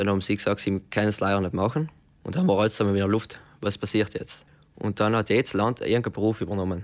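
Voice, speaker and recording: A man's fairly low voice at a very fast pace, fairly even in intonation, on a very clean recording with a silent background. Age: 20s. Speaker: car mechatronics technician. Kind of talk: radio interview.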